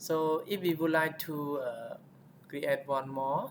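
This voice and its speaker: A man's words come at a very slow pace while noticeable background noise fills the recording. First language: not English. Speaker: tech tutorial youtuber. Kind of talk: tutorial. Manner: halting, frequent fillers.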